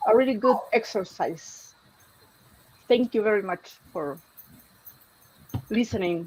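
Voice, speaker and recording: A woman with a Chilean accent speaks at a fairly slow pace and fairly high pitch. Her intonation is lively, broken by long, frequent pauses. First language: Spanish. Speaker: aspiring writer. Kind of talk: casual chat. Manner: halting.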